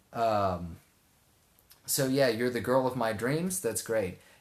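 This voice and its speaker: With a southeast Texas accent, a man talks in an animated tone at medium pitch, with ordinary pitch variation and a fairly slow pace. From Texas, Houston area. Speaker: live streamer. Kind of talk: casual chat. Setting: live stream.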